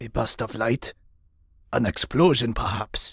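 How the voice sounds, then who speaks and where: This man uses a cartoonish character voice at a medium pitch. He talks at a fairly slow pace. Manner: formal, measured.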